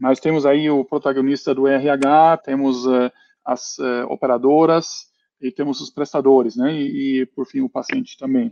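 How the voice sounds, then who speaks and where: A man speaks at a fairly slow pace with a German accent. His intonation stays fairly even. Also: fairly high pitch for a man. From Germany. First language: German (speaking Portuguese). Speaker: company founder and CEO. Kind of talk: panel discussion. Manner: hesitant, many fillers.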